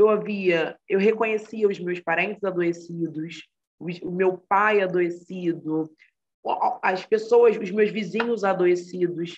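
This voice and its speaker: The speaker is a woman with a medium pitch. She talks very slowly. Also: fairly even intonation. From Brazil, Rio de Janeiro (Baixada Fluminense). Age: 20s. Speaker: psychology student and mental health project co-founder. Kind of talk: interview conversation.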